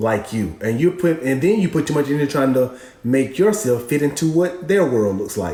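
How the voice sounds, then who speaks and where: Fairly high-pitched male voice with lively intonation at a moderate pace, over noticeable background noise. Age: 40s. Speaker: co-host. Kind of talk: live stream advice chat.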